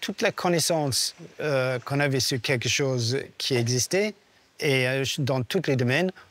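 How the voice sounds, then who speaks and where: At a fairly slow pace, a man with a fairly high pitch and ordinary pitch variation speaks in a dry, close sound with no echo. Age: 60s. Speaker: technical director of a rally team. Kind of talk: documentary interview. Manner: hesitant, many fillers.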